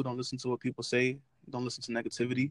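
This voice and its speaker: The sound is dry and close, with no echo. The speaker has a New York accent. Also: man. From New York City (Brooklyn). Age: 20s. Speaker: sneaker YouTuber. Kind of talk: casual interview.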